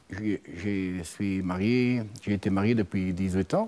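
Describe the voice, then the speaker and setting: Delivery is very slow, with fairly even intonation. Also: man. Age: 50s. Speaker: mechanic; talk show guest. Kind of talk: testimony. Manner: halting. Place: studio. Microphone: lapel.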